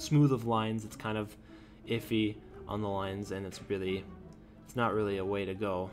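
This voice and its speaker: A man's fairly low, monotone, flat voice at a moderate pace with music in the background. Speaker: animation tutorial youtuber. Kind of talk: screen-recorded tutorial. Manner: halting, stuttering; casual, filler-heavy.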